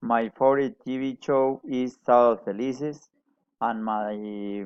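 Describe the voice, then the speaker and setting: A man with a Colombian accent speaks at a medium pitch. His pace is very slow and his intonation fairly even. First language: Spanish. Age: 40s. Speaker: adult English student. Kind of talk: class presentation. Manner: halting, with many hesitations.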